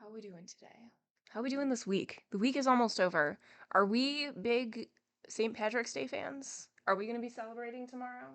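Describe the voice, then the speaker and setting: A woman with an ordinary speaking voice talks at a moderate pace. Her loudness swings widely while her pitch varies in an ordinary way. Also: fairly high pitch for a woman. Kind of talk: casual live-stream greeting chat. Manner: soft-spoken, casual.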